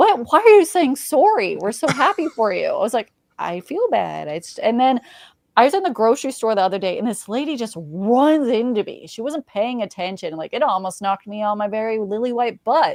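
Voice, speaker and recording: A woman's animated, fairly high voice, fairly quick in pace, with very wide pitch swings and a slight Saskatchewan accent. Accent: Canadian, slight Saskatchewan. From Canada, Saskatchewan (Regina). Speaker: sports reporter. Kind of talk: casual chat.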